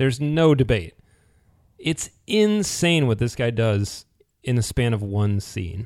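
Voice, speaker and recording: The speaker has a normal speaking voice with lively intonation. The pace is fairly slow. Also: man, medium pitch for a man. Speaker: podcast host. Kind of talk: casual podcast discussion, episode recap.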